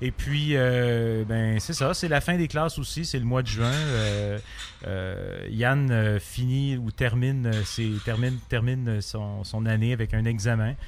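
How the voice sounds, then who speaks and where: A man with a medium pitch talks at a very slow pace. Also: ordinary pitch variation. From Quebec, Montreal. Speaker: comic book artist. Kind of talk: interview. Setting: bar.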